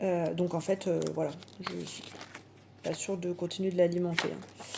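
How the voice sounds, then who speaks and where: A woman is speaking. Her delivery is monotone, with flat intonation. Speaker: budgeting vlogger. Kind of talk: casual monologue vlog.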